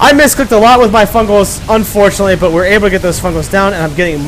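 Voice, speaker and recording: This man has a high-pitched voice. His intonation is lively. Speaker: gaming commentator. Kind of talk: game commentary. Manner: stuttering; casual.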